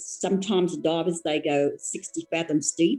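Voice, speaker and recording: A woman's voice sounds dry and close with no echo, with music playing in the background. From Torres Strait, Australia. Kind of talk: interview answer.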